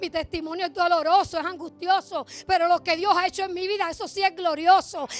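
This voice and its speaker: Animated in tone, the speaker moves at a fairly quick pace with hardly any pauses. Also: woman, extremely high pitch for a woman. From Puerto Rico, Bayamón. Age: 60s. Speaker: church member giving testimony. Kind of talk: testimony.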